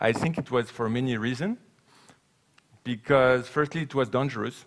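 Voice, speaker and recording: The speaker has a French accent. The pace is moderate and the pitch varies in an ordinary way. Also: man, medium pitch for a man. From France. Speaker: sailing cargo ship advocate. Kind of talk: conference talk and Q&A. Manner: halting.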